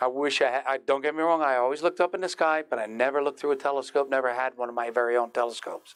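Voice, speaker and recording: In a plain, everyday voice, a man talks at a fairly quick pace, his pitch fairly high with ordinary variation. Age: 60s. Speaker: amateur astronomer giving a beginner talk. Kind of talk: public talk. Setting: stage with live audience, streamed online. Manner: casual, conversational.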